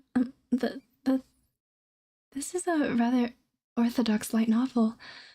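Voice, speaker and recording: This soft-spoken woman has a high pitch, a dark, mellow tone and fairly even intonation. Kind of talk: soft-spoken ASMR book reading, casual talk.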